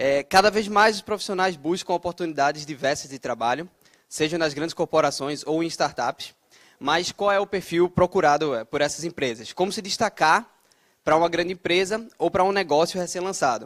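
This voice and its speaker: Recorded dry and close with no echo against a silent background, a man with a northeastern Brazilian accent speaks in a high pitch at a moderate pace with ordinary pitch variation. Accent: noticeable northeastern Brazilian. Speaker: debate moderator, software developer. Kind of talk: moderating a panel debate. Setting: stage with audience.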